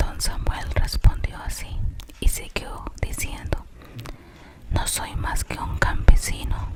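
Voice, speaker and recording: A very slow whisper comes through. Noticeable background noise sits beneath it. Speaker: ASMR content creator and storyteller. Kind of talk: ASMR whispered story reading. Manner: whispered, soft, slow.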